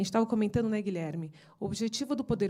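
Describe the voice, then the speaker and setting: A woman's somewhat breathy voice carries a dark, mellow tone at a fairly high pitch. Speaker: lawyer. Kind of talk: seminar presentation. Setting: seminar panel. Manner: fast; halting.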